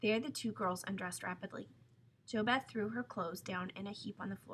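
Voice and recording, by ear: A text is read aloud here in a natural voice.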